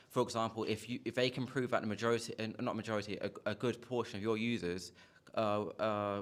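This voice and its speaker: A man with a British accent, fairly low-pitched, at a very fast pace, monotone and flat, very clean recording with a silent background. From United Kingdom. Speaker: audience member asking a question. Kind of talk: conference Q&A question. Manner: halting, many fillers.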